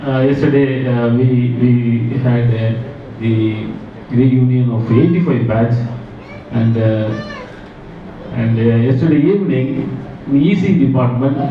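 Over light background noise and audible room echo, a man speaks very slowly with very even loudness and ordinary pitch variation. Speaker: guest. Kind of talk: informal speech. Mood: warm, proud, reminiscing. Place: hall. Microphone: pa.

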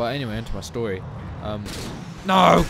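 With lively intonation and a moderate pace, the speaker is heard against noticeable background noise. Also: man. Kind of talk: live gameplay commentary. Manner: low, quiet.

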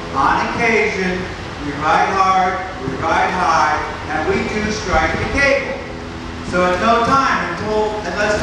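A man speaks in a raised, projected voice with ordinary pitch variation. Strong room echo and noticeable background noise surround him. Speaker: show announcer. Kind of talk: public safety announcement. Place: stage. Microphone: pa.

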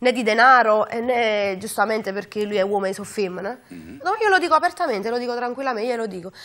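In a Neapolitan accent, a woman speaks at a very fast pace with hardly any pauses. Her pitch is fairly high, her intonation lively, and her loudness swings widely. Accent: Neapolitan Italian. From Naples, Capodichino; Naples. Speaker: singer; interview guest. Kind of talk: interview. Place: studio. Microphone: lapel.

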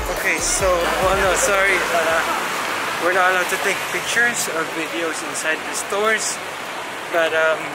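A man at a moderate pace, dry with no echo, with music in the background. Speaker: travel vlogger. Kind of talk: casual vlog chat. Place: street. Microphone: phone near.

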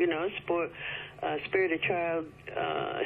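Fairly even intonation over light background noise. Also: woman. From China, Eurasian family. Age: 70s. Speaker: author and former political secretary. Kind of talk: radio interview. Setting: phone call. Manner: halting. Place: studio.

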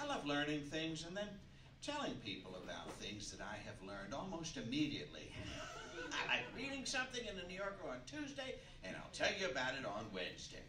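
There is noticeable noise in the background. The speaker talks at a fairly quick pace. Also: man. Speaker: comedian host. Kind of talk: stand-up comedy monologue. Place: stage.

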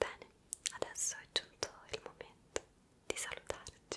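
A woman whispers in a gentle tone. Her pace is fairly slow. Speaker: ASMR creator. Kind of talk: soft-spoken ASMR chat. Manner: gentle whispered farewell. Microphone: handheld.

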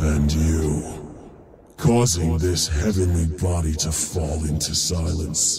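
A man uses a put-on character voice. It is very deep and low, delivered at a very slow pace. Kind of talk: video game trailer. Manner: solemn, determined.

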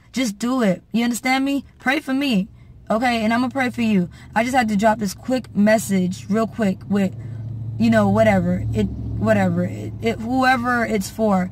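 At a moderate pace, a woman with an American accent speaks in a dry sound with no echo, with light background noise. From Haitian American. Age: 20s. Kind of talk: casual talk to camera. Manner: earnest, preachy. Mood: earnest, warm, preachy. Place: car. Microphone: phone near.

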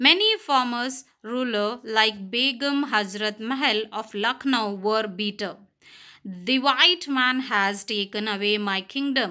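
A woman speaks at a very slow pace in a bright, sharp tone with ordinary pitch variation. The recording is very clean, with a silent background. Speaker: school teacher. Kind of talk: reading aloud; lecture.

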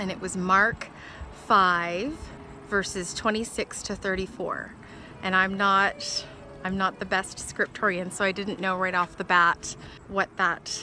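With music in the background, a woman speaks fairly slowly in a monotone, flat intonation with long, frequent pauses, the sound dry with no echo. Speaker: vlogger. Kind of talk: casual vlog chat. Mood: warm, heartfelt, smiling. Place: open country. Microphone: phone near.

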